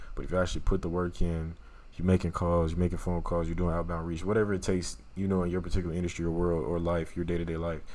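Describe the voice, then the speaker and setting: A man with a strong Louisiana accent talks at a very fast pace in a very deep, low pitch. His intonation is monotone and flat, and the room echo is audible. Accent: thick Louisiana. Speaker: YouTuber reviewing a book. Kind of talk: casual book summary talk. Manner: casual, conversational.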